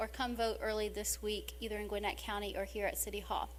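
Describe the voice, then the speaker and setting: A woman speaks with an American accent. The room echo is audible, and there is noticeable background noise. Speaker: mayor. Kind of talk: council meeting report. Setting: city council meeting.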